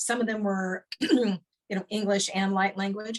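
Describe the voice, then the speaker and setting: A woman's voice, somewhat breathy, keeps to a moderate pace. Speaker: sound healer and spiritual teacher. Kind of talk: interview answer. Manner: hesitant, casual.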